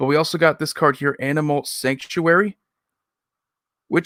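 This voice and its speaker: A man speaks at a moderate pace. The sound is dry and close with no echo, on a very clean recording with a silent background. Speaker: streamer and card game content creator. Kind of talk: live stream chat. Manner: somewhat monotone.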